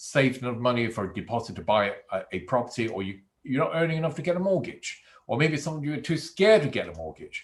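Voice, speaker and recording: A man speaks at a fairly quick pace, somewhat breathy. His pitch swings very widely. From Hong Kong, raised in England from age 12. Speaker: property investment trainer. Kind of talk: online masterclass.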